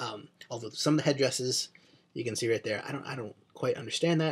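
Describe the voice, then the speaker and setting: At a fairly quick pace, a somewhat breathy voice with an American accent moves through ordinary pitch variation. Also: man. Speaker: comic book reviewer. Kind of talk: video review monologue. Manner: ranty.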